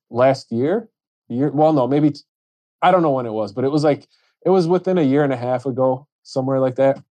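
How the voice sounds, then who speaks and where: This voice carries a dark, mellow tone and an American accent. It moves at a fairly quick pace. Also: man. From Chicago. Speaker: plumber and painter. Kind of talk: casual chat.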